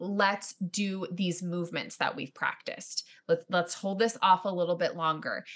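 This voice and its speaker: A woman with an unremarkable speaking voice talks at a moderate pace and medium pitch, with fairly even intonation and hardly any pauses. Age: 30s. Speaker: actor and writer. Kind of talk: casual chat.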